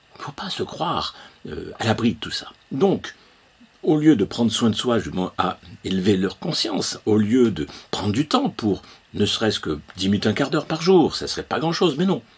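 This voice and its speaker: Noticeable background noise sits behind the voice. The speaker moves at a moderate pace with very wide pitch swings. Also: man, medium pitch for a man. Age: 70s. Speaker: consciousness-awakening trainer. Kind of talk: opinion monologue. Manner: halting, many hesitations.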